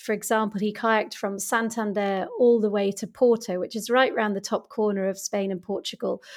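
This woman has a British accent. She speaks fairly high. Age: 40s. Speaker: author and business coach. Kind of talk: interview. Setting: home studio, remote recording.

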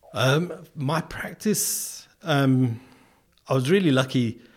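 A somewhat breathy man's voice with very wide pitch swings. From England. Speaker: artist and PhD researcher. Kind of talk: interview. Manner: hesitant, many fillers.

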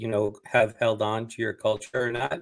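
A man with an American accent, a plain, everyday voice and a medium pitch, at a moderate pace. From San Diego border region, US. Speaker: brewery founder, entrepreneur. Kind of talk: interview.

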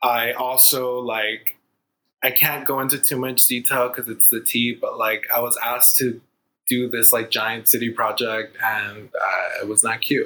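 A man with an American accent speaks at a fairly slow pace in a medium pitch, his bright, sharp tone held to a monotone, flat intonation. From Inglewood, Los Angeles. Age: 20s. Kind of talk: interview.

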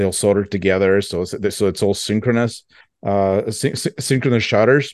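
A man speaks in an ordinary speaking voice with ordinary pitch variation against a quiet background. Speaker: Soviet camera collector and blogger. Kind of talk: casual chat.

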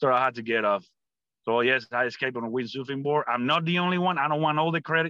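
A man speaks at a very fast pace in a Cuban accent. His pitch is medium and his loudness very even. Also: ordinary pitch variation. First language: Spanish. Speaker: Cuban-born US army veteran and political commentator. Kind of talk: interview conversation.

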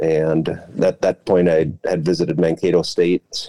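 The speaker has an Upper Midwest accent and a dark, mellow tone, talking at a moderate pace in a monotone, flat way. The sound is dry and close, with no echo. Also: man. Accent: Upper Midwest American. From Central Minnesota. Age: 40s. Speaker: former college baseball player, teacher. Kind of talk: casual chat.

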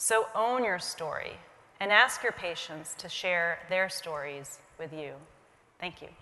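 Pausing long and often, a woman with an American accent speaks at a fairly slow pace in a fairly low pitch, her loudness swinging widely. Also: ordinary pitch variation. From US, Indian American family. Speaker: physician. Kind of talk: keynote talk. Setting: stage with audience.

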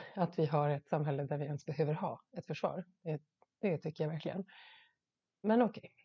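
This woman's voice is very deep and low, and somewhat breathy. Her pitch varies in an ordinary way. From Sweden, Gotland. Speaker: podcast host. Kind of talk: solo monologue podcast.

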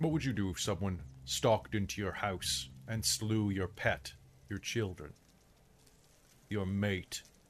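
This man speaks in a put-on character voice. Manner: increasingly heated, angry.

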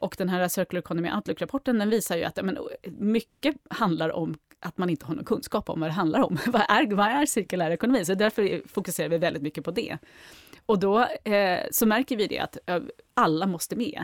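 A woman with a plain, everyday voice speaks at a medium pitch and a fairly quick pace, her intonation lively. The sound is dry and close with no echo, and the recording is very clean with a silent background. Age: 40s. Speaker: circular economy executive. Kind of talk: casual interview.

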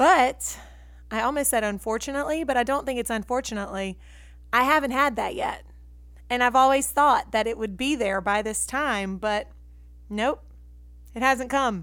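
Moderate-paced speech with a Southern US accent and long, frequent pauses, on a very clean recording with a silent background. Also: woman, high pitch for a woman, ordinary pitch variation. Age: 30s. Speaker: podcast host. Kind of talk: casual monologue. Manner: chatty.

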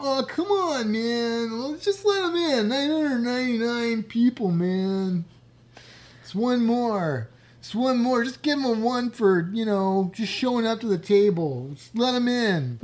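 Someone uses a put-on character voice at a fairly high pitch, delivered very slowly. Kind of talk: casual. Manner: laid-back, pleading.

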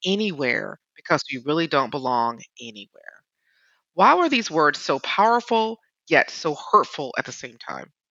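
With very wide pitch swings, a woman talks at a fairly low pitch. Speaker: podcast host. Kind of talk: interview conversation.

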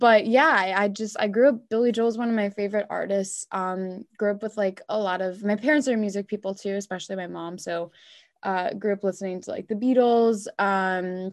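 A woman with a Long Island accent speaks in an animated tone at a moderate pace, her pitch in the medium range. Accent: Long Island New York. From New York area (Long Island). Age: 20s. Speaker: singer-songwriter. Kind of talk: casual interview. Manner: animated, laughs often.

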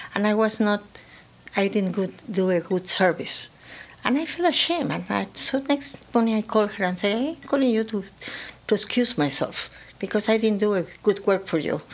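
A woman with a Spanish accent speaks at a medium pitch with lively intonation. Noticeable background noise is present. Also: moderate pace. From Peru. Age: 80s+. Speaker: real estate firm founder. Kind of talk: interview. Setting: studio.

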